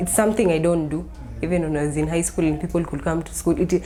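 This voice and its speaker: A woman is heard over noticeable background noise. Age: 20s. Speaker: university student with type 1 diabetes. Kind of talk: interview testimony.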